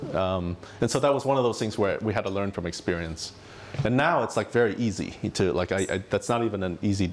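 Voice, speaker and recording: A man with an American accent talks at a fairly quick pace, his fairly low voice full of lively intonation. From United States. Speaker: tech entrepreneur and company executive. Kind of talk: conference talk with audience Q&A. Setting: stage with audience. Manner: frequent fillers and self-restarts. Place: hall. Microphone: lapel.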